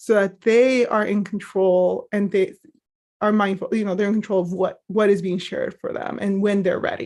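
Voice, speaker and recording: In a very clean recording with a silent background, a woman with a Spanish accent speaks at a fairly high pitch. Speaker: mental health professional. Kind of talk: training presentation. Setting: live stream.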